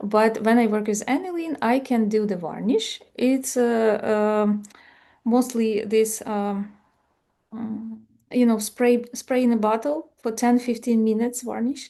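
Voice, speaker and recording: A woman's dark, mellow, fairly high voice with a non-native accent, fairly slow pace and fairly even intonation. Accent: foreign. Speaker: folk art lecturer. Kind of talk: Q&A after a lecture. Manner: halting.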